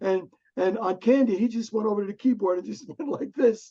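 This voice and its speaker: With a New Jersey accent, a man speaks at high pitch in a dark, mellow tone with lively intonation. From US, Newark, New Jersey. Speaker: music arranger and producer. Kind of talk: casual Q&A chat. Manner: halting with repetitions.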